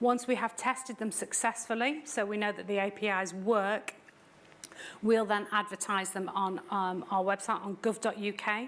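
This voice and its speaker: A woman with a British accent speaks at medium pitch and moderate pace, her intonation fairly even. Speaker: tax authority official presenting. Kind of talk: seminar presentation.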